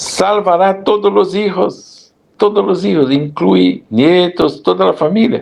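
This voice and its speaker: Speaking at a very slow pace with a Brazilian accent, a man with a high voice uses lively intonation while keeping his loudness very even. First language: Portuguese (speaking Spanish). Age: 70s. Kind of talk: interview.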